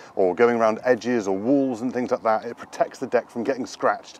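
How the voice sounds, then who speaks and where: Very fast speech from a man, ordinary pitch variation, a dry sound with no echo, and noticeable background noise. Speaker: presenter. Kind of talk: product walkaround presentation. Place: open country.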